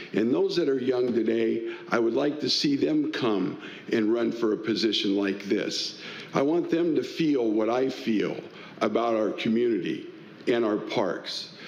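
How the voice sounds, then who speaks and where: With an American accent, a man speaks at a fairly slow pace and very even loudness, amid noticeable background noise and audible room echo. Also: medium pitch for a man, ordinary pitch variation. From Tacoma, Washington, US Pacific Northwest. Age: 60s. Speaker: political candidate, community volunteer. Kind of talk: candidate forum opening statement.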